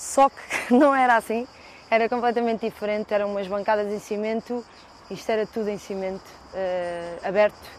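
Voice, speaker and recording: A woman speaks in a normal speaking voice at a moderate pace. Her pitch is fairly high. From Portugal, Lisbon (Chelas, Marvila). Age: 30s. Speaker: fado singer. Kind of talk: casual walking tour interview. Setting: outdoors.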